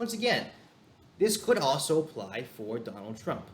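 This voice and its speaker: His pitch swings very widely as a man speaks. Audible room echo surrounds the voice. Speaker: political commentary youtuber. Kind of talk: video commentary. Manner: fast; halting, many fillers.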